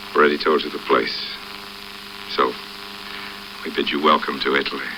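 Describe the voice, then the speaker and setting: The speaker keeps a moderate pace. Background noise is noticeable. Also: man. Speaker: actor and filmmaker. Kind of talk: documentary narration to camera. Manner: relaxed, wry.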